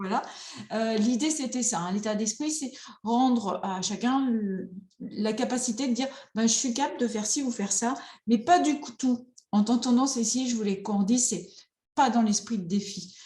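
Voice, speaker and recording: Audible room echo surrounds a woman speaking at a moderate pace. Her pitch is fairly high and her tone is dark and mellow. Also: ordinary pitch variation. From France, rural. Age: 50s. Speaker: psychotherapist. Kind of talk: online conference talk.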